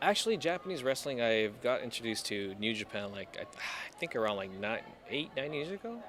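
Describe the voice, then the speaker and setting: Noticeable background noise sits under a man with an American accent talking at a fairly quick pace, his pitch swinging very widely. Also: medium pitch for a man. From East Los Angeles, USA. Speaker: ring announcer; screamer in a band. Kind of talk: casual interview answer.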